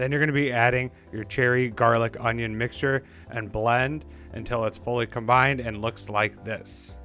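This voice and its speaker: Music plays in the background as a man speaks at a moderate pace. His pitch is medium and his intonation fairly even. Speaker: home cook video maker. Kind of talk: cooking tutorial voiceover.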